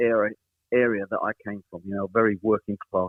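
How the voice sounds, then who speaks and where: Speaking very fast, a man's voice sits fairly low in pitch. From East End of London. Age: 70s. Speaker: pop singer. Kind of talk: interview.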